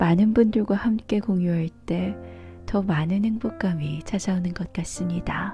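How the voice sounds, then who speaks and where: Music plays in the background as a woman talks very slowly in a calm tone. Her voice sits at a medium pitch with ordinary pitch variation. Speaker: audiobook narrator. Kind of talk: audiobook introduction.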